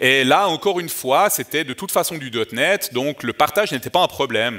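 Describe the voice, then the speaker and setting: A man speaks with a Vaud accent at a moderate pace. His fairly high voice swings very widely in pitch. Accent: Vaud Swiss French, good. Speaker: developer advocate, conference speaker. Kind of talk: conference talk. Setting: conference stage with audience. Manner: hesitant, many fillers.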